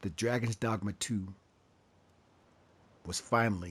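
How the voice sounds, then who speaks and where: Somewhat breathy and fairly low, a man's voice moves at a fairly slow pace with ordinary pitch variation. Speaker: gaming channel host. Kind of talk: casual gameplay commentary. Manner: stammering.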